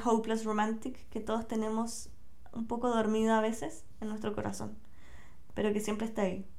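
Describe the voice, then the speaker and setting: Against noticeable background noise and audible room echo, a woman with a Chilean accent talks at a fairly quick pace in a relaxed tone, her pitch fairly high. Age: 20s. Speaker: podcaster. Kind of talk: casual monologue.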